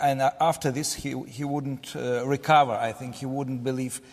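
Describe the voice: A medium-pitched male voice with fairly even intonation at a moderate pace.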